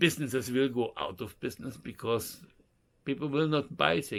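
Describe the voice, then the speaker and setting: In a plain, everyday voice, a man talks at a moderate pace with medium pitch and ordinary pitch variation. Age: 60s. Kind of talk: casual talk to camera.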